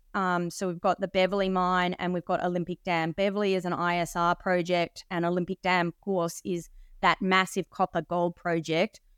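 A woman with an Australian accent speaks with hardly any pauses in a monotone, flat intonation, on a very clean recording with a silent background and a dry, close sound with no echo. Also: fairly low pitch for a woman, moderate pace. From Australia (Sydney). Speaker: mining company executive. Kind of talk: presentation-style interview.

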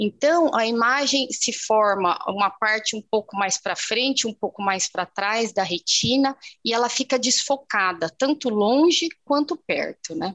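Against a quiet background, a woman with a normal speaking voice talks at a fairly slow pace with hardly any pauses, her fairly high pitch carrying lively intonation in a dry, close sound with no echo. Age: 40s. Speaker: ophthalmologist. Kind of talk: interview.

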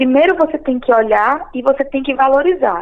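A woman's high-pitched voice with lively intonation, over noticeable background noise. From Pernambuco, Brazil (Recife area). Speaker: entrepreneur and journalist. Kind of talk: interview.

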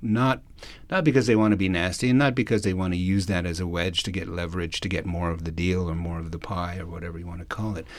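A man talks at a very fast pace with ordinary pitch variation. His voice is very deep and low, and the room echo is audible. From Alberta, Canada (Cree First Nation). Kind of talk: public talk / lecture. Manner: hesitant, many fillers.

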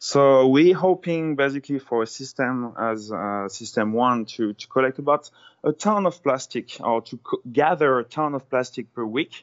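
With a French accent, a man talks at a moderate pace and medium pitch, using ordinary pitch variation and hardly any pauses. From France. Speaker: ocean scientist. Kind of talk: phone interview. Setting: phone call.

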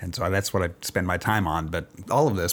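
A man with an American accent and a normal speaking voice talks at a fairly quick pace with ordinary pitch variation. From Texas, Austin area. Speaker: cycling advocate, advocacy group representative. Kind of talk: casual interview conversation. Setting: in-person interview.

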